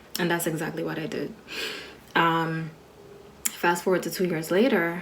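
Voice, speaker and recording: A soft-spoken woman with fairly low pitch talks at a moderate pace amid audible room echo and noticeable background noise. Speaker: registered nurse, motivational vlogger. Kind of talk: personal reflection monologue to camera. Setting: recorded video for social media. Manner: casual, filler-heavy speech.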